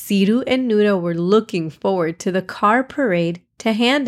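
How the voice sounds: Against a quiet background, someone reads in a natural voice.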